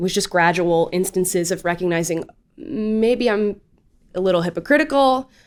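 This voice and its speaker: A woman with an American accent and an ordinary speaking voice, at medium pitch and a moderate pace. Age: 20s. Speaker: political commentator. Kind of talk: casual interview.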